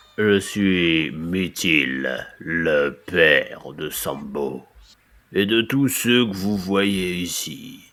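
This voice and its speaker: A man puts on a character voice with a very deep, low pitch, speaking at a very slow pace in a solemn tone. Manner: ancient, slow, solemn.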